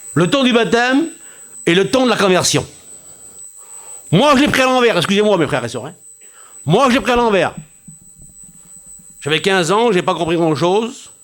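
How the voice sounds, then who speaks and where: With very wide pitch swings and long, frequent pauses, a man speaks in a high voice. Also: moderate pace. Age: 60s. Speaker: pastor. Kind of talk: sermon. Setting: church.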